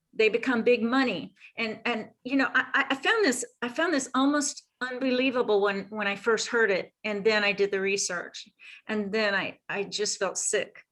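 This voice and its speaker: A woman with a fairly high pitch talks at a moderate speed, her pitch varying in an ordinary way. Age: 60s. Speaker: health practitioner. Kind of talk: interview. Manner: halting.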